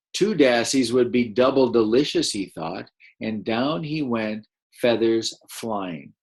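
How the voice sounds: The natural reading voice shows ordinary rises and falls in pitch, with a quiet background behind it.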